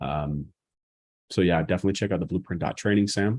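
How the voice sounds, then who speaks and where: Speaking at a very fast pace in a Boston accent, a man with a very deep, low pitch and a dark, mellow tone uses ordinary pitch variation. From US Northeast, Boston. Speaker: marketing educator. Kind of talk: live stream Q&A. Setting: live YouTube stream. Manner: casual.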